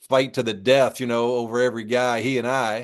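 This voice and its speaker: This man has an unremarkable speaking voice, a medium pitch, fairly even intonation and a moderate pace. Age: 60s. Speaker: former basketball coach. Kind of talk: interview. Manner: casual, conversational.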